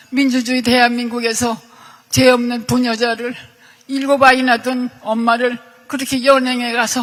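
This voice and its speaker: The woman's voice sits high and stays monotone and flat. Noticeable background noise runs underneath. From South Korea, Seoul. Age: 80s+. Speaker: victim of state violence. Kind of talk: testimony.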